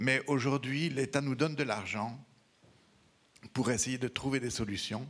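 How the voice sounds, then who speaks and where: A man speaks with a Belgian accent. He keeps a moderate pace. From Belgium. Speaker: veterinarian, regional council member. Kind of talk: audience remark at round table.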